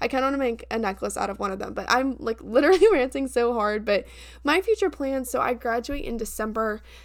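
Against a very clean, silent background, a woman talks very fast at a high pitch, animated in tone with lively intonation. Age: 20s. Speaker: podcast host, college student. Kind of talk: casual solo monologue.

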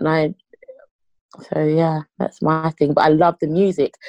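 A woman talks at a moderate pace in a dry, close recording with no echo. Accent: London. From England, East London. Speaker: rapper. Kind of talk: interview.

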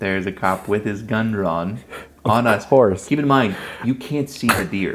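A man with an American accent and an ordinary speaking voice, fairly low-pitched with ordinary pitch variation, at a moderate pace. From US South, South Carolina. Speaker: podcast host. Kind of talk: casual chat. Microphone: mic problems during part of recording.

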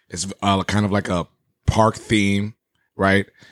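Dry and close with no echo, a man's very deep, low voice moves at a fairly slow pace. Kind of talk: casual chat. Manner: animated.

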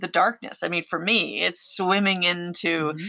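In a very clean recording with a silent background, a woman speaks at a moderate pace with a bright, sharp tone. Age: 50s. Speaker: underwater explorer and filmmaker. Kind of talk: interview.

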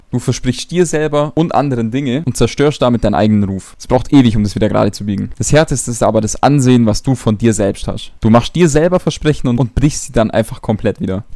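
A man at a medium pitch rattles along at a very fast pace with hardly any pauses, his tone dark and mellow and his pitch varying in an ordinary way. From Allgäu, Bavaria, Germany. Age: 20s. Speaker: YouTuber and business coach. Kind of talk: casual monologue to camera. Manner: animated.

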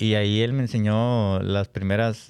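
In a very clean recording with a silent background and a dry, close sound without echo, someone speaks in a normal speaking voice at a fairly slow pace with fairly even intonation. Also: man. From Nuevo León, Mexico. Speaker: accordion player in a regional Mexican band. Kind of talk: casual interview chat.

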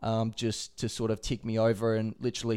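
A man of medium pitch with an Australian accent. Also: very clean recording, silent background. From Adelaide, South Australia. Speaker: professional footballer. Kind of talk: interview.

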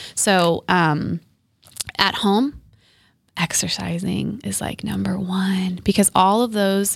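Here a woman speaks with a fairly low pitch and an American accent. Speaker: therapist. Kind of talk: casual chat. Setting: studio. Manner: calm, soothing.

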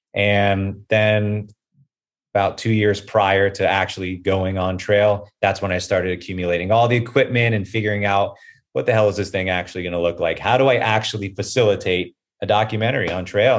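This man talks at a fairly quick pace. His voice sits fairly low in pitch. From South Florida. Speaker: documentary filmmaker and thru-hiker. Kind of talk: casual interview. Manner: animated.

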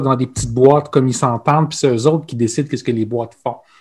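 A man's medium-pitched, somewhat breathy voice at a fairly quick pace, with ordinary pitch variation and a quiet background. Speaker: podcast co-host, organizational consultant. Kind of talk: casual chat.

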